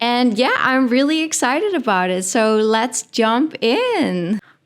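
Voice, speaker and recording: In a Dutch accent, a woman speaks on a very clean recording with a silent background. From Netherlands. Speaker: podcast host. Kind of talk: casual podcast monologue. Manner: animated, filler-heavy.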